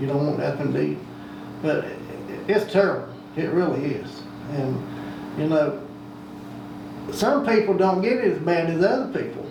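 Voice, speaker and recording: Over noticeable background noise, a man with an Appalachian accent speaks at a fairly slow pace. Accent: Southern US, Appalachian North Carolina. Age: 60s. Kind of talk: interview answer. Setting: home.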